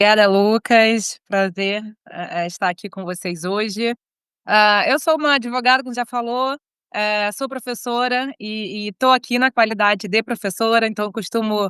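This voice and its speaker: A woman with a Rio de Janeiro accent and a fairly high voice talks at a moderate pace with ordinary pitch variation, recorded dry and close with no echo against a quiet background. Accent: carioca. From Brazil, Rio de Janeiro. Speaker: lawyer and law professor. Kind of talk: interview. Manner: informal, many filler hesitations.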